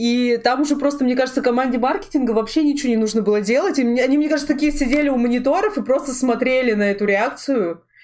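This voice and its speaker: A woman's very fast, high-pitched speech with ordinary pitch variation, hardly any pauses, and noticeable background noise. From Russia, Sverdlovsk region (Urals). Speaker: streamer and artist hosting a talk show. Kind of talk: casual chat. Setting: live stream. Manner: animated.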